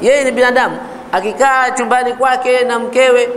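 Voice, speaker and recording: Over light background noise, a man speaks at an extremely high pitch with a Swahili accent. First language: Swahili (speaking Arabic). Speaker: Islamic teacher. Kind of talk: religious lecture. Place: home room. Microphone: lapel.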